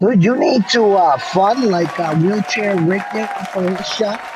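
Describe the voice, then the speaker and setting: A man's high-pitched voice in an American accent, at a fairly slow pace, with music in the background. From New York. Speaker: caller. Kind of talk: casual chat.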